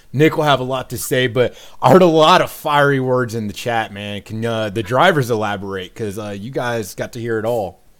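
A man with an American accent, medium in pitch, fairly quick in pace and lively in intonation. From US Midwest. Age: 30s. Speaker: podcast host and serving soldier. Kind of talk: casual chat. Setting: video call. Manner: animated.

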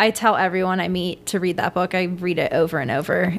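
This is an ordinary speaking voice. It keeps a moderate pace. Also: woman. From Venezuela, raised in Washington DC. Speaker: mural artist and clothing designer. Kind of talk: casual interview chat.

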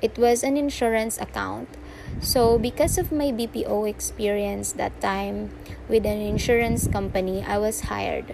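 A woman speaks with a Filipino accent. Her pace is fairly slow. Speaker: freelancer and podcaster. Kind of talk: casual monologue. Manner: halting.

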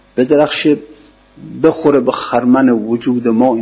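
Noticeable background noise sits behind a man's voice. He speaks at a medium pitch and a moderate pace. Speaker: religious scholar teaching poetry commentary. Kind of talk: lecture.

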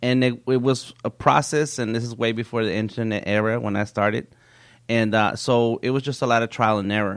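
This man has an unremarkable speaking voice and a fairly even intonation. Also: medium pitch for a man, fairly quick pace, quiet background. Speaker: nonprofit founder for artists. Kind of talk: interview conversation.

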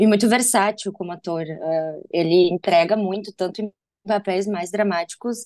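Dry and close with no echo, a woman's dark, mellow voice moves at a fairly slow pace with fairly even intonation. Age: 30s. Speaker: advertising professional and film buff. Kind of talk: casual chat.

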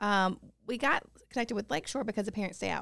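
A woman's fairly high-pitched voice in a Tennessee accent. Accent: Tennessee Southern. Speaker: preschool ministry director. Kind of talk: casual interview. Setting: studio.

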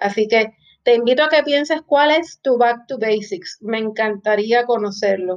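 A woman with a Puerto Rican accent, fairly high in pitch and fairly slow in pace. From Puerto Rico. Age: 40s. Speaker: podcast host and finance professor. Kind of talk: solo podcast monologue.

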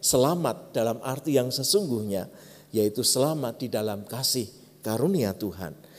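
A man speaks with a Javanese accent at medium pitch and a moderate pace. His tone is dark and mellow, with ordinary pitch variation. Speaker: pastor. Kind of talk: sermon.

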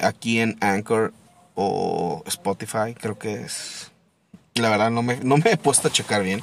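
A man talks very slowly in a medium pitch, his pitch varying in an ordinary way. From Mexico, Torreón (La Laguna). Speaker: podcast host. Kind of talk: casual monologue. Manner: casual, hesitant with repetitions.

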